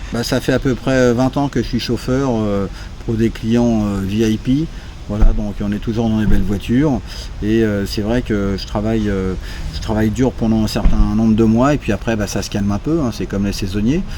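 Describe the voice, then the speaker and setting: With noticeable background noise behind him, a man speaks at a moderate pace in a fairly low pitch with fairly even intonation. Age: 60s. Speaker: chauffeur interviewed about moving to Thailand. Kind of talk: casual interview. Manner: hesitant, many fillers.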